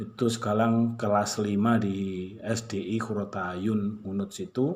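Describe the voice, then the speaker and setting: In a slight Malang accent, a man speaks very slowly at a fairly low pitch with monotone, flat intonation and audible room echo. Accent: slight Malang Javanese accent, stiff. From Malang, East Java, Indonesia. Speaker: high school teacher. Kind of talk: class introduction to students. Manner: casual, warm address to pupils.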